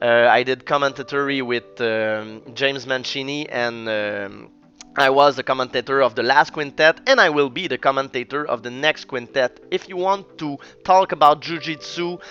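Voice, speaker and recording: The voice carries a Quebec accent and keeps a moderate pace. The sound is dry and close, with no echo. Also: man, fairly high pitch for a man, ordinary pitch variation. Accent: Québécois French accent in English. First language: French. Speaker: jiu-jitsu coach and commentator. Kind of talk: sports analysis and predictions. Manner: halting, many fillers.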